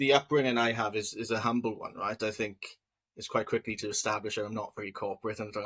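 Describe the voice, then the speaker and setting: A man talks very fast at a medium pitch, with a bright, sharp tone and monotone, flat intonation. The sound is dry and close with no echo, in a very clean recording with a silent background. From Wales, South Wales Valleys. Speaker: business co-founder. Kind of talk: interview. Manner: halting, many fillers and repetitions.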